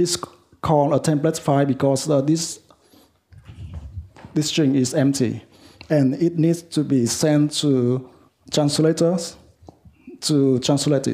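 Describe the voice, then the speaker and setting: A man with a Vietnamese accent has a fairly high, dark and mellow voice with fairly even intonation and very even loudness, broken by long, frequent pauses. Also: fairly slow pace. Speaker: software developer. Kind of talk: lightning talk. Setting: meetup with audience. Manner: halting, many fillers.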